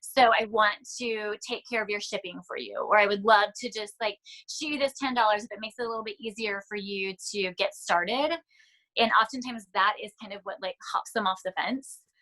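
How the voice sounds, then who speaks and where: A woman with a bright, sharp tone and fairly high pitch, speaking fairly quickly with fairly even intonation and big swings in loudness, in a dry, close sound with no echo. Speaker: network marketing team member. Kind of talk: team training talk. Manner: fast.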